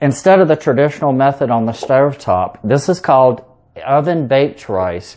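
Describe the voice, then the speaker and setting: Here a man speaks with a Southern US accent and ordinary pitch variation. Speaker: home cook, cooking video host. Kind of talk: cooking tutorial. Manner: casual, with fillers.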